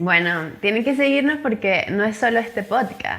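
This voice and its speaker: A woman at a fairly high pitch and fairly slow pace, with ordinary pitch variation. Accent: Venezuelan Andean. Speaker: podcast co-host. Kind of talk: casual chat.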